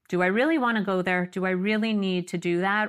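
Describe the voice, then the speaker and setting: This very clean recording has a silent background, with a woman speaking at a fairly quick pace in a medium pitch. She has a plain, everyday voice. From Canada, Montreal. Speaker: psychotherapist. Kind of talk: interview.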